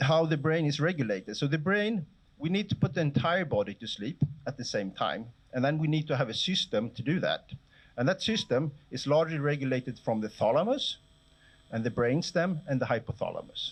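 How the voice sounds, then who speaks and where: A man speaks in a fairly high, somewhat breathy voice. He moves at a fairly quick pace with lively intonation. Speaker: professor. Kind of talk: lecture. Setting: lecture hall with audience. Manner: fast.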